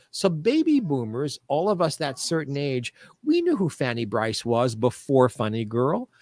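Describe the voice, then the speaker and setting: A man's normal speaking voice, fairly high in pitch, with lively intonation at a moderate pace, in a dry, close sound with no echo. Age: 60s. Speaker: show business historian. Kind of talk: interview.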